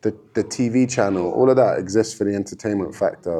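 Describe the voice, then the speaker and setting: A man speaks at a fairly quick pace in a fairly low pitch, with a dark, mellow tone and fairly even intonation. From London, England. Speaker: MMA fighter. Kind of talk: casual podcast interview. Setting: gym.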